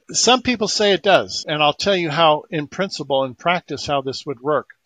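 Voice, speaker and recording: The sound is dry and close, with no echo. A man speaks at a fairly quick pace with lively intonation. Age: 60s. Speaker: inventor promoting energy healing devices. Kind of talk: interview.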